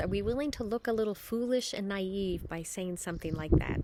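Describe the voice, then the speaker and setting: Over noticeable background noise, a woman with an American accent speaks at a fairly quick pace in a medium pitch. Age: 50s. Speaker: parishioner giving a scripture reflection. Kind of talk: spiritual reflection. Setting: outdoors.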